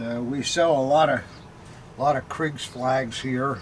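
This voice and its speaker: A man talks at a moderate pace in a fairly high pitch, his intonation fairly even, while noticeable background noise carries on behind him. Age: old. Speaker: antique militaria dealer. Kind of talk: unboxing chat. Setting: cellar. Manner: halting.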